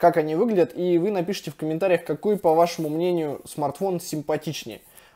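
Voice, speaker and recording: Over a quiet background, a man with a high pitch and a dark, mellow tone talks at a fairly quick pace with fairly even intonation. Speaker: tech reviewer. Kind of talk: casual review commentary. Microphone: phone near.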